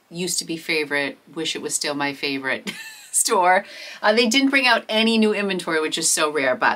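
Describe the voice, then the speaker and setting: This woman has a fairly low pitch and very wide pitch swings, speaking at a fairly quick pace. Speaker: thrift reseller vlogger. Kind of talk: casual vlog chat. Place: home room.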